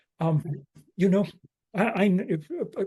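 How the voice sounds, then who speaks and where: Over a quiet background, a man's somewhat breathy, dark and mellow voice moves with ordinary pitch variation. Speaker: activist host. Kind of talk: casual hosting. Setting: video call.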